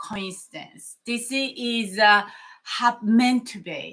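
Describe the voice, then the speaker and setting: A woman speaks with a strong non-native accent and lively intonation. Her pace is very slow. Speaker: mindfulness coach. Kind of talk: motivational talk to camera. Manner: animated.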